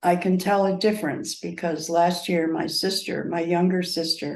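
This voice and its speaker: This woman speaks at a fairly low pitch. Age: 80s+. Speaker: cancer patient. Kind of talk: interview. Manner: halting.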